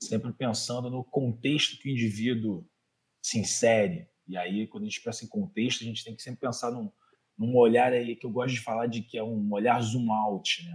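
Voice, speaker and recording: Speaking with a Rio de Janeiro accent, a man uses an animated tone, medium pitch, ordinary pitch variation, and a moderate pace, with big swings in loudness. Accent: carioca. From Rio de Janeiro, Méier. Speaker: physical education professional, master's student. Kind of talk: casual interview chat. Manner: animated, slangy.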